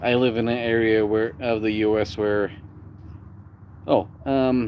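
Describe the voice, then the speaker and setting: A medium-pitched man with an American accent, at a very slow pace, with monotone, flat intonation. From United States. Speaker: live streamer. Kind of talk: casual live stream chat. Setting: live stream. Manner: rolled R's.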